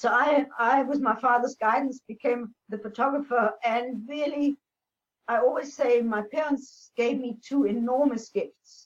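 Fairly even intonation marks this fairly slow delivery. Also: woman, high pitch for a woman. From Namibia, born in Austria. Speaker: former airline pilot and speaker. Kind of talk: interview.

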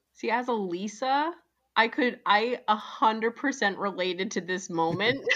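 Lively in intonation, a woman speaks at a fairly high pitch and moderate pace. Hers is an unremarkable speaking voice, heard over a quiet background. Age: 30s. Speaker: podcaster guest. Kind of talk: casual chat.

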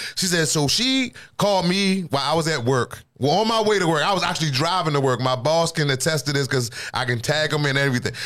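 With noticeable background noise behind him, a man with an American accent talks very fast at a fairly high pitch, keeping his loudness very even. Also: lively intonation. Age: 40s. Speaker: podcast host. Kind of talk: casual chat.

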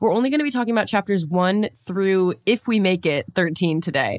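A woman at medium pitch speaks at a fairly quick pace with lively intonation and an animated tone, in a dry, close sound with no echo. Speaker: podcast co-host. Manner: animated, excitable.

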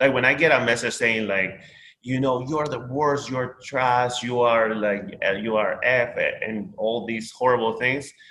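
With a Spanish accent, a man speaks at a fairly slow pace, his medium pitch in fairly even intonation. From Peru. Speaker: social media creator. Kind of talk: casual chat.

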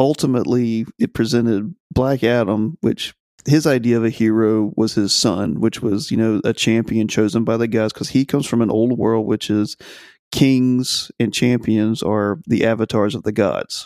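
A man with an ordinary speaking voice and a medium pitch talks at a fairly slow pace with ordinary pitch variation. The very clean recording has a silent background and a dry, close sound with no echo. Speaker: writer and YouTube content creator. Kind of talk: casual chat.

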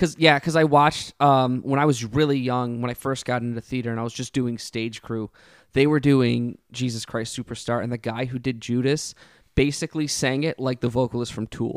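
This is an unremarkable speaking voice, a man at medium pitch with fairly even intonation and a moderate pace. The recording is very clean, with a silent background and a dry, close sound with no echo. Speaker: podcast host and musician. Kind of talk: casual chat. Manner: joking.

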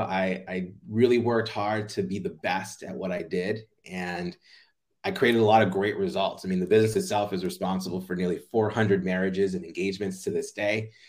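In a very clean recording with a silent background, a man with an American accent and a plain, everyday voice speaks at a moderate pace, his pitch fairly low and his intonation fairly even. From US, Jamaican family. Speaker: playfulness coach. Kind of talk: interview.

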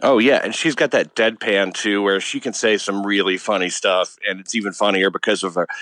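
This is a man with an unremarkable speaking voice, pitched fairly low. His intonation stays fairly even. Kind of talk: casual conversation.

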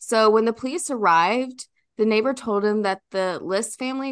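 Against a quiet background, a woman uses a normal speaking voice with a fairly high pitch and ordinary pitch variation. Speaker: recurring guest presenting a true crime case. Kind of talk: storytelling of a true crime case, casual chat.

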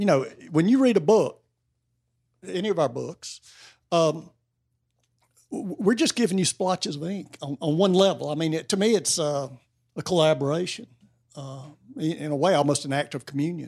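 With an Appalachian accent, a man speaks in a high pitch. He leaves long, frequent pauses. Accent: US Southern (Appalachian North Carolina). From North Carolina. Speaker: novelist. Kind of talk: casual interview. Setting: bookstore with live audience. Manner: halting, many fillers.

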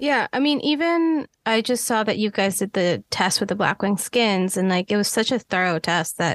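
A woman speaks in an ordinary speaking voice at a moderate pace and medium pitch, with lively intonation, very even loudness and a dry, close sound with no echo over a quiet background. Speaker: podcast co-host, cinematographer. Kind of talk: podcast interview.

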